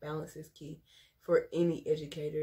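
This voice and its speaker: Somewhat breathy, the voice has a dark, mellow tone and moves at a moderate pace. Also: woman. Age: 20s. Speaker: teacher and vlogger. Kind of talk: casual vlog talk to camera.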